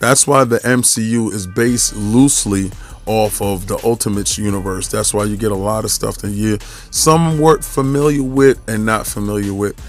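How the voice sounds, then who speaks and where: A man with a New York accent, medium pitch and ordinary pitch variation, over music in the background. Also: moderate pace. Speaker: podcast host, statue collector. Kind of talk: casual video review monologue. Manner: casual, many fillers and restarts.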